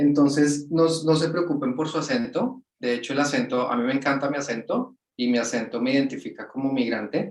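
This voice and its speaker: A man with a Latin American accent and a fairly high pitch speaks at a fairly quick pace with hardly any pauses and ordinary pitch variation. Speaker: project manager. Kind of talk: webinar interview.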